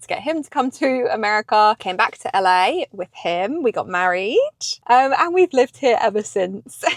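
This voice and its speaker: A woman with a British accent, her pitch swinging very widely. The sound is dry and close, with no echo. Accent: British, unchanged after ten years in US. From England. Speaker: vlogger. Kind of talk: casual chat. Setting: in a parked car.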